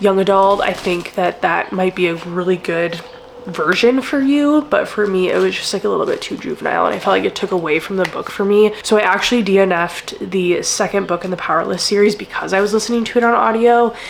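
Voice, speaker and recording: Noticeable background noise sits behind a woman with a medium pitch and ordinary pitch variation. She sounds animated and leaves hardly any pauses. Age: 30s. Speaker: book vlogger. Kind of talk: casual vlog review. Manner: animated, filler-heavy.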